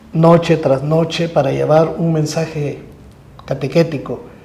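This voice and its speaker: Audible room echo carries a man's fairly high pitch. He speaks at a fairly slow pace. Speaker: religious procession bearer. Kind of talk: religious talk show discussion.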